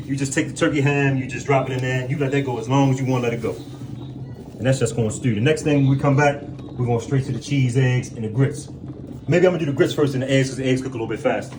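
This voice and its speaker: A man speaks at a very fast pace with fairly even intonation. Audible room echo and noticeable background noise surround him. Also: medium pitch for a man. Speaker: prison cook on video. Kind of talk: cooking tutorial. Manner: stuttering, repetitive.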